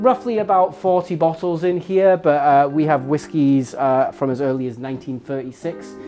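Faint music plays in the background as the speaker moves at a moderate pace with hardly any pauses. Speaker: bar staff guide. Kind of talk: guided tour explanation. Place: bar.

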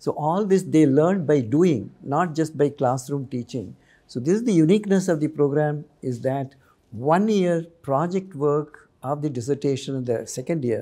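A man with a dark, mellow tone talks at a moderate pace with ordinary pitch variation over a quiet background. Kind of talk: interview answer. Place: studio. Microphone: lapel.

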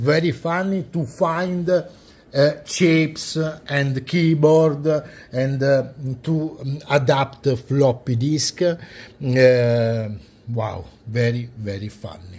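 A man's somewhat breathy, fairly high voice with an Italian accent, at a very slow pace, with ordinary pitch variation. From Italy. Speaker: retro computer collector and video creator; video creator. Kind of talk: show-and-tell tutorial. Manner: halting, many fillers. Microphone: phone near.

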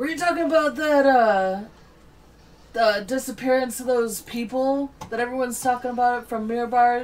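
A female-sounding voice in a put-on character voice comes out gruff and high-pitched at a moderate pace.

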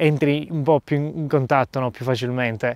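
A man speaks at a moderate pace in a fairly high pitch. The sound is dry with no echo, and the background is quiet. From Sicily, Gela; Sicily. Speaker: travel reporter and youtuber; travel reporter, youtuber. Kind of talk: interview. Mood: reflective, relaxed. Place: open country. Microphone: lapel.

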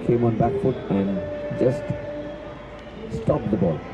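A man talks in an animated, excited tone against noticeable background noise. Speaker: cricket commentator. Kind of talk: live commentary. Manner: animated, excited ball-by-ball calls with rising 'Oh!' exclamations.

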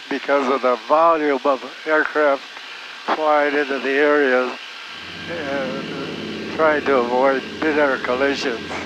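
A man speaks at a very slow pace with a fairly high pitch for a man. His speech has long, frequent pauses, and there is noticeable background noise. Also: dry sound with no echo. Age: 90s; old. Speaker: war veteran pilot. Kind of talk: interview answer. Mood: calm, matter-of-fact. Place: plane. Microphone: headset.

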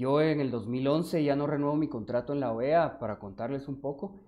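A man speaks in a plain, everyday voice, with ordinary pitch variation. His pitch is fairly high, and his pace is moderate. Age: 30s. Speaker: mayoral candidate. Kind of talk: interview.

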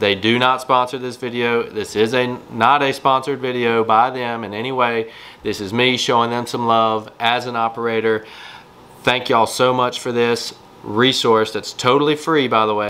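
In a monotone, flat intonation, a man speaks at a moderate pace. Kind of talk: tutorial.

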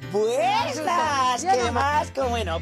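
Behind the man's voice, clear music can be heard. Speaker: comedian, show host. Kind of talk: casual talk show host. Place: garden.

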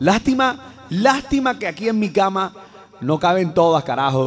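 A man shouts at a high pitch, his pitch swinging very widely. He speaks fairly slowly over light background noise. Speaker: radio-style humor host. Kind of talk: comedic radio monologue. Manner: playful, joking. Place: studio. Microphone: studio mic.

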